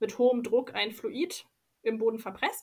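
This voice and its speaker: A woman speaks with a fairly high pitch. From Leipzig, Saxony. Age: 20s. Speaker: local councillor, environmental engineer. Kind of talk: interview.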